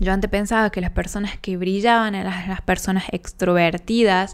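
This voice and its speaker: At a medium pitch, a woman speaks in a monotone, flat intonation on a very clean recording with a silent background. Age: 20s. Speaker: podcast host. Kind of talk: personal monologue.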